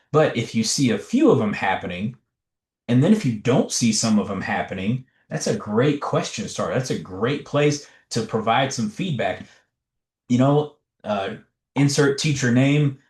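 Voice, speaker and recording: A man's somewhat breathy voice with lively intonation, at a moderate pace over a quiet background. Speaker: education trainer / presenter. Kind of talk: webinar presentation. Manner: animated.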